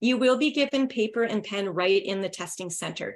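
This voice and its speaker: A woman is speaking. She has a Canadian accent. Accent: native Canadian. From Northern Ontario, Canada. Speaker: English test prep teacher. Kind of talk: webinar lecture. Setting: online webinar.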